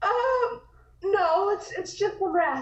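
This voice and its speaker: A woman's squeaky, put-on character voice at an extremely high pitch, with ordinary pitch variation. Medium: audio drama. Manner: hesitant, stammering.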